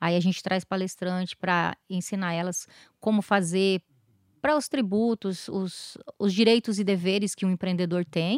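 A woman with an ordinary speaking voice speaks at a moderate pace with fairly even intonation and medium pitch, in a very clean recording with a silent background and a dry, close sound with no echo. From southern Brazil, interior of Paraná. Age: 40s. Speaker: founder of a support association for abuse victims. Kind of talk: interview, personal testimony.

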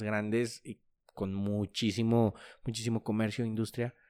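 Recorded very cleanly against a silent background, a man speaks at a fairly slow pace and fairly low pitch with fairly even intonation, an unremarkable speaking voice. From Mexico, La Laguna region. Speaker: podcast host. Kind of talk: interview.

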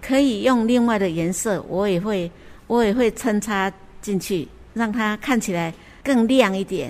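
Here is a woman speaking in a Taiwanese accent. Her pitch varies in an ordinary way. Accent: Taiwanese Mandarin. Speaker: cross-stitch crafter. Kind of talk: interview. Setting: on location at a cultural center.

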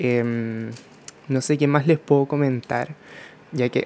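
With a plain, everyday voice, a man speaks at a fairly slow pace in a medium pitch with fairly even intonation. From Chile. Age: 20s. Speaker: podcast host, makeup artist. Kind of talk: casual monologue. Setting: at home by a window.

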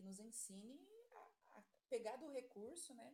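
Somewhat breathy, the woman's voice moves with lively intonation. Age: 40s. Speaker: nursing assistant. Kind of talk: casual chat.

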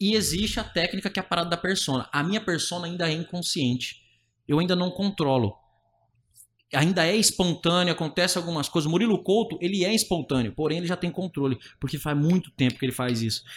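Very fast, high-pitched male speech with ordinary pitch variation, on a very clean recording with a silent background. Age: 20s. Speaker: stand-up comedian. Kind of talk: casual chat.

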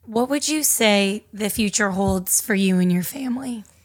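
Her voice is somewhat breathy, with a fairly high pitch for a woman. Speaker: podcast host. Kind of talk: casual interview chat.

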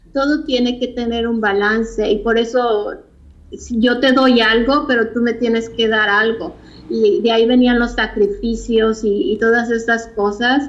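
Audible room echo accompanies a woman whose fairly high pitch holds a fairly even intonation. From Mexico (Mexico City, then Tijuana). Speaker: fashion designer. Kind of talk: interview.

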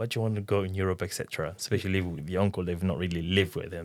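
The recording is very clean, with a silent background. A man speaks with a very deep, low pitch and fairly even intonation. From Democratic Republic of the Congo. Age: 30s. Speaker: interviewee sharing personal story. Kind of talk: casual conversational interview.

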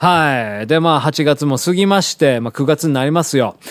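A man speaks in a plain, everyday voice at a moderate pace. His pitch varies in an ordinary way, and the recording is very clean with a silent background. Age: 40s. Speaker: radio host and pianist. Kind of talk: casual monologue. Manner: rambling with many fillers.

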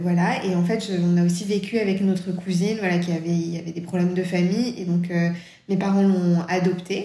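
Amid noticeable background noise and audible room echo, a woman holds a medium pitch in a flat monotone at a moderate pace. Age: 30s. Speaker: children's book author. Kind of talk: interview. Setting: remote recording.

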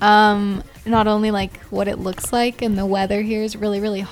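Over music in the background, a woman with a fairly high voice speaks in a Canadian accent. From Canada. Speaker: university student traveler. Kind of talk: casual chat. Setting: studio.

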